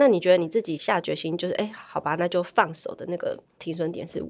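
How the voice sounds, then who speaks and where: A woman talks at a fairly quick pace in an ordinary speaking voice with fairly low pitch. Her loudness swings a lot. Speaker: podcast host. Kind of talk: casual interview chat. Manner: laughs often.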